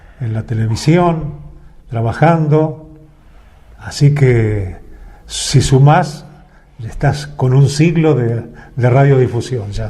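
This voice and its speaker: A fairly high-pitched man at a very slow pace with ordinary pitch variation, long, frequent pauses and audible room echo. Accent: Rioplatense. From Argentina, Buenos Aires province. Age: 80s+. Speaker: veteran radio and TV announcer. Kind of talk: interview.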